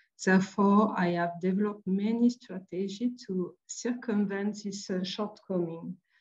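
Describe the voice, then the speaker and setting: A somewhat breathy woman at a medium pitch speaks at a fairly slow pace with fairly even intonation and hardly any pauses. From France, Marseille. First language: French. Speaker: artist and printmaker. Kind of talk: lecture. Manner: halting.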